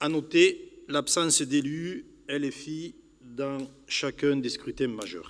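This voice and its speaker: In a very clean recording with a silent background, a man with a fairly high pitch speaks very slowly, with ordinary pitch variation and big swings in loudness. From southern France, Pyrénées-Orientales (Catalonia). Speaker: youth housing manager, conference speaker. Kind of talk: public lecture. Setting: conference hall with audience. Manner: formal.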